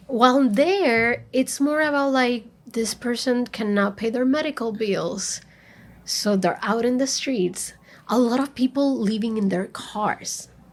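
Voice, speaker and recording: A woman's high voice in a Spanish accent, with ordinary pitch variation and a fairly slow pace. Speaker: librarian. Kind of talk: interview. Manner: animated.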